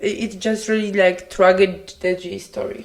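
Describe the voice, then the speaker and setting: The speaker is a woman with a Polish accent. She talks very slowly. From Poland. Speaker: podcast co-host. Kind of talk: casual chat.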